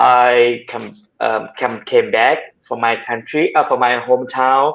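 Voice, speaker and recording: Against a quiet background, a man talks at a fairly slow pace in a Thai accent. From southern Thailand. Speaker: hydroponic farmer. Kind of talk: video call interview. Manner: halting.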